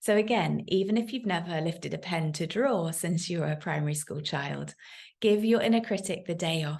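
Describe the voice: With vocal fry and a slightly mellow tone, a woman speaks at a low pitch and moderate pace, with ordinary pitch variation.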